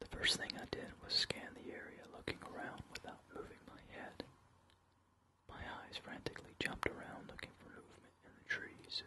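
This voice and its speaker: Whispering over noticeable background noise. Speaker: ASMR creator and reader of his own novel. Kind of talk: ASMR horror story reading. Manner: whispered, soft-spoken, slow.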